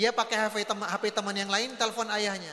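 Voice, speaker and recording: A man speaks in a raised, projected voice at a high pitch. His tone is animated and his pace moderate. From North Sumatra (Batak). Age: 40s. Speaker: Islamic preacher. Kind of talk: religious lecture. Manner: animated storytelling.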